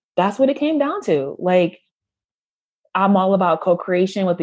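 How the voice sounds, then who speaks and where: With an American accent, a woman speaks at a moderate pace in a dark, mellow tone and lively intonation. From US. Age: 30s. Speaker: former doula, online shop owner. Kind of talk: casual interview chat.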